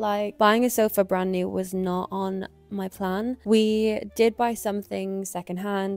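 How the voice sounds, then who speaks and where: Music plays behind a woman at medium pitch whose intonation is monotone and flat. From Ireland. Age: 20s. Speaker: freelance videographer. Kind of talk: casual talk to camera.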